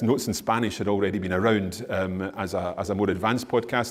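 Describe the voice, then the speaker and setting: With a Scottish accent, the speech comes at a fairly quick pace in monotone, flat intonation, with audible room echo. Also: man. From Scotland. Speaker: language teacher and podcaster. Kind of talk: conference Q&A answer. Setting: conference stage with audience. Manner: halting, many repeated words. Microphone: echoey room.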